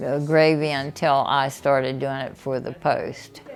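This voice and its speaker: A woman with an American accent at a fairly slow pace, with audible room echo and music in the background. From US South. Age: 90s. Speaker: community volunteer. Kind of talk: casual interview. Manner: halting.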